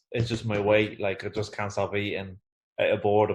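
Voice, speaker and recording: A somewhat breathy man at a fairly quick pace. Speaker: boxing interviewer. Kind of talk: interview question.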